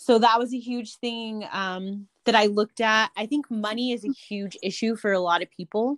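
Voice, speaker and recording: A woman with a fairly high voice talks at a moderate pace, hardly pausing at all. Her intonation stays fairly even, and the sound is dry and close with no echo. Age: 30s. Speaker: registered nurse. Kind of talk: interview. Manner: hesitant, many fillers.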